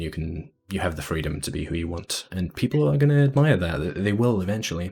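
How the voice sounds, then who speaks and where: On a very clean recording with a silent background, a man speaks with a British accent. His voice is somewhat breathy and his pace fairly quick. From Britain. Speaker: animator giving a convention panel. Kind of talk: convention panel Q&A. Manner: halting, many fillers and repeats.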